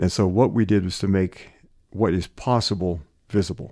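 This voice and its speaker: A man with an American accent speaks in a very deep, low pitch with a dark, mellow tone. The background is quiet. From Western Pennsylvania. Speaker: retired professor and sustainability educator. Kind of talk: interview conversation.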